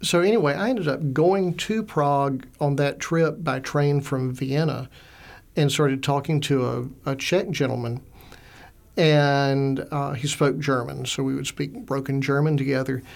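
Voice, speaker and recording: Speaking with a Southern US accent, a man talks at a fairly slow pace in a fairly high pitch with ordinary pitch variation. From US South, Augusta, Georgia. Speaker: librarian and author. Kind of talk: interview. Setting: studio.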